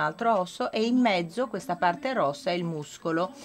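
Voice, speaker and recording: A woman with a non-native accent talks at a moderate pace with lively intonation. Light background noise can be heard. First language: not Italian (speaking Italian). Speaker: medical researcher; conference presenter. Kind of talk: lecture. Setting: conference with audience. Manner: halting, with many fillers. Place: hall. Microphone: podium.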